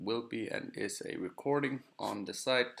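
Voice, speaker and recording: A soft-spoken man's voice. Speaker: forex trading stream host. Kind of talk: live stream talk. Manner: halting.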